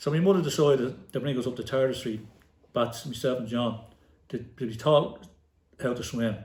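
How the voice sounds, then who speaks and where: A man with a Dublin accent speaks at a fairly quick pace and medium pitch, somewhat breathy and animated, with ordinary pitch variation and audible room echo. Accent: Dublin inner-city Irish. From Ireland, inner-city Dublin. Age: 60s. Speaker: retired football manager and player, podcast guest. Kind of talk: casual interview. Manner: animated storytelling.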